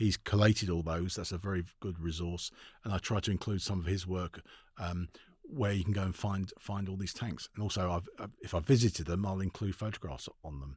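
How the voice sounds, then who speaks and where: A man with a London accent talks at a fairly quick pace in a very deep, low, somewhat breathy voice with ordinary pitch variation. The recording is very clean, with a silent background. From London, England. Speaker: author and tank historian. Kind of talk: interview conversation. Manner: fast; halting, many fillers.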